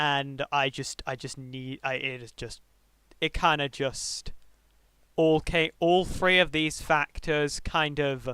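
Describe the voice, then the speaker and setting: In a very clean recording with a silent background, a man with a British accent speaks at fairly high pitch with a bright, sharp tone. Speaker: streamer. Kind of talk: casual livestream talk. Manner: halting.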